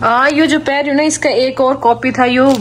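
Background noise is noticeable as a woman talks. She speaks with a Haryana accent at a high pitch. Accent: Haryanvi. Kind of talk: casual family vlog talk to camera.

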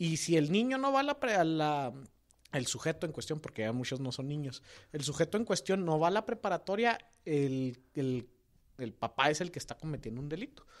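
A man with a normal speaking voice talks at a moderate pace, his fairly high pitch carrying lively intonation. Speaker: political podcast co-host. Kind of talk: casual political discussion.

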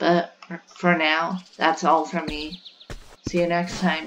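Very slow pace over noticeable background noise. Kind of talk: casual talk to camera.

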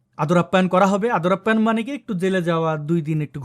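Over a silent background on a very clean recording, a man speaks with lively intonation. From Bangladesh. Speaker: political commentator. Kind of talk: political commentary monologue. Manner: animated.

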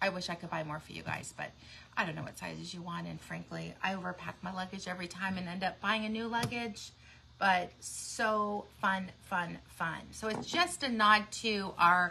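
Over light background noise, a woman speaks at a moderate pace with big swings in loudness. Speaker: shop owner host. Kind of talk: casual livestream chat. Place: shop. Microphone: phone near.

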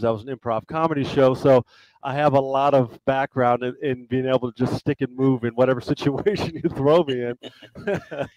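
A man's voice, dry and without echo, shows ordinary pitch variation over a quiet background. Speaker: guest. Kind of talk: interview answer. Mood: friendly, smiling. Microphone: headset.

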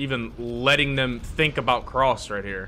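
An animated man's voice with a bright, sharp tone against light background noise. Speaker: gaming YouTuber. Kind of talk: casual gameplay commentary. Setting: home recording while playing a game. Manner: animated, excitable. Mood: frustrated, joking.

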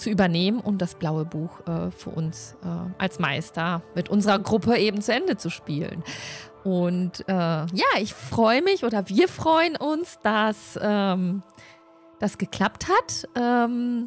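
Speech at a very slow pace comes over faint music in the background, in a dry sound with no echo. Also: woman. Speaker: stream host of a tabletop role-play group. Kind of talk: casual stream introduction. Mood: cheerful, friendly. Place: home room. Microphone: studio mic.

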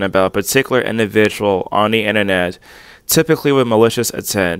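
The man has an ordinary speaking voice with ordinary pitch variation, recorded as a dry sound with no echo. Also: quiet background. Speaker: online commentator. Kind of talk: commentary. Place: home room. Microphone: earbuds.

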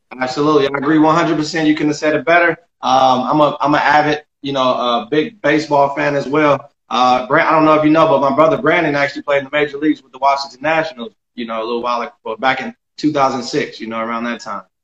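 A man with an American accent talks at a very fast pace with hardly any pauses, his pitch fairly high for a man. His loudness swings widely, and the room echo is audible. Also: ordinary pitch variation. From Southern California. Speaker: podcast host. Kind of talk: casual interview. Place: home room. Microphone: phone near.

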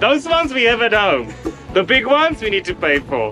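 The voice is raised and projected. Clear music plays in the background. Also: man. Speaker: sailing vlogger. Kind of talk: casual vlog chat. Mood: playful mock complaining. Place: boat. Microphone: phone near.

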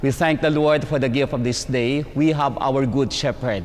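This man talks at a moderate speed. There is an ordinary amount of variation in his pitch. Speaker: priest leading mass. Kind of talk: liturgical greeting and introduction. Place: church. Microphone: lapel.

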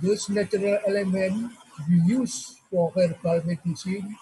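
A man with a high pitch speaks very slowly in an Indonesian accent. His intonation stays fairly even. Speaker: emeritus professor. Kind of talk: lecture. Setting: video call. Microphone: webcam.

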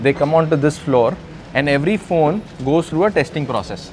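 A man's voice with music in the background. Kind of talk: interview answer. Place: factory.

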